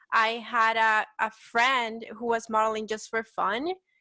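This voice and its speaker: Recorded very cleanly against a silent background, a woman with a Salvadoran accent has a bright, sharp tone and a fairly high pitch. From El Salvador. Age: 20s. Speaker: petite model. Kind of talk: casual interview.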